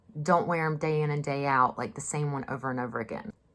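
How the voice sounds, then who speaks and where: In a very clean recording with a silent background, a woman with a Southern US accent speaks at a very deep, low pitch. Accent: Southern US drawl. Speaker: mask maker. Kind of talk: casual talk to camera. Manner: chatty, sarcastic.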